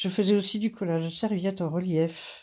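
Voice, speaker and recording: In a very clean recording with a silent background, a woman speaks with a dark, mellow tone. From Brittany, France (Finistère). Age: 60s. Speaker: craft YouTuber. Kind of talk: casual vlog monologue. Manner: hesitant, many fillers.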